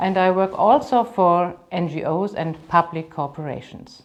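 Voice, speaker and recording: Speaking at a very slow pace, a woman has a medium pitch. She talks with a German accent. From Germany, Cologne. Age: 50s. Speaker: business trainer and coach. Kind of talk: self-presentation.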